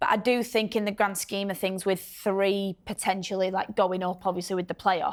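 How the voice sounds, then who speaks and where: In a strong Yorkshire accent, the speaker talks at a moderate pace with monotone, flat intonation and hardly any pauses. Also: woman, medium pitch for a woman. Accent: Bradford, Yorkshire; strong. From northern England, Bradford. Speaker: professional footballer. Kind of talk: casual chat. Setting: studio.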